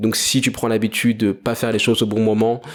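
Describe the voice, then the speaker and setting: At a fairly quick pace, a man with a French accent speaks at a medium pitch. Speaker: entrepreneur podcaster. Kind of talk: solo monologue podcast.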